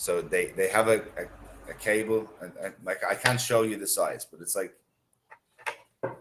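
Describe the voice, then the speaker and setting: A man speaks at a moderate pace with an Irish accent. His loudness swings a lot. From Ireland. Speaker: English tutor. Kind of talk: casual chat.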